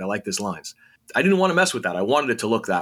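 Speaking in an American accent, a man with a medium pitch makes very wide pitch swings. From New York City, Queens. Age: 50s. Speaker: comic book writer. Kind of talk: interview.

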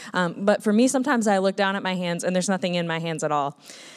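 Speaking with an American accent, a woman uses an ordinary speaking voice at a medium pitch with ordinary pitch variation. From Minnesota, US. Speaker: missionary. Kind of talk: testimony. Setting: church.

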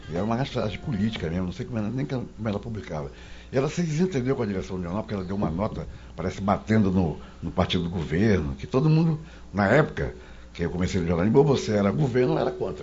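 A man's fairly low voice at a very fast pace, with very wide pitch swings. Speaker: journalist. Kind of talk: casual chat.

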